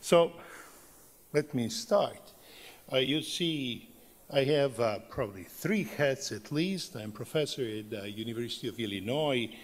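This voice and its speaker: Lively intonation runs through a man's medium-pitched speech, delivered at a fairly slow pace in a Serbian accent. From Serbia, Belgrade. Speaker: professor. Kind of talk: conference talk. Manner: halting, many fillers.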